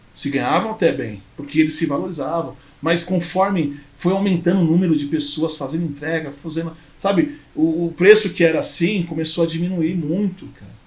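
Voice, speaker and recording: Speaking at a moderate pace, a man has a high voice with ordinary pitch variation. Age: 30s. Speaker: entrepreneur, former motorcycle courier. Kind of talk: podcast interview.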